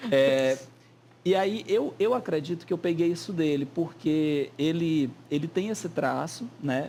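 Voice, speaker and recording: Dark, mellow male tone, fairly slow in delivery, its pitch moving in an ordinary way. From Piauí, Brazil. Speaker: writer and songwriter. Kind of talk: talk show interview. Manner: animated, gestures with hands to keep words flowing.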